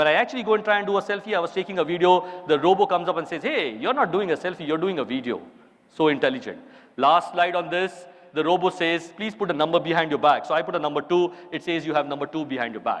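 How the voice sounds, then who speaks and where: Someone speaks with an Indian accent at a very fast pace in an animated tone. The pitch varies in an ordinary way. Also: man, high pitch for a man. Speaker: chartered accountant giving a conference talk. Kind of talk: conference keynote talk.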